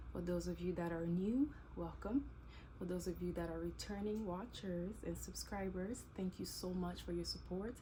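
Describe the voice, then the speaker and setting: The pace is moderate. Audible room echo and noticeable background noise surround the voice. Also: woman. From DR Congo, Kinshasa. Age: 20s. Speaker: YouTuber and teacher. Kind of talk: casual Q&A vlog.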